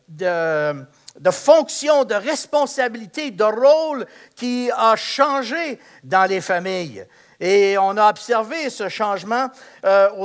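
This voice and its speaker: A man speaks very slowly in a high voice with lively intonation. The recording is very clean, with a silent background. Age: 70s. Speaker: pastor. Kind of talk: sermon. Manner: hesitant, many fillers.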